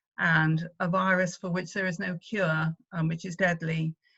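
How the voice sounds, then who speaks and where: Someone with a British accent speaks at a moderate pace in monotone, flat intonation. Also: woman. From Wales. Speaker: activist, former party leader. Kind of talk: conference speech. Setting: video call. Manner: hesitant, many fillers.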